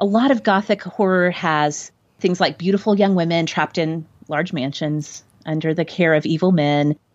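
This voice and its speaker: A woman talks at a moderate pace with ordinary pitch variation and a fairly low pitch. It is an unremarkable speaking voice. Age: 40s. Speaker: podcast host and former English teacher. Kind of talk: casual chat about a book.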